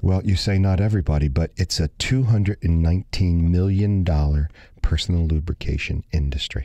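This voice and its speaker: In a quiet background with a dry, close sound and no echo, a man with a very deep, low pitch and a dark, mellow tone talks at a fairly quick pace, with very even loudness and ordinary pitch variation. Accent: American. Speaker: radio host. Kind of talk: casual chat.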